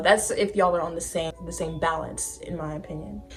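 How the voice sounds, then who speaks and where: A woman talks at a moderate pace in a plain, everyday voice. Her pitch variation is ordinary. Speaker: lifestyle vlogger. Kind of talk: casual vlog talk.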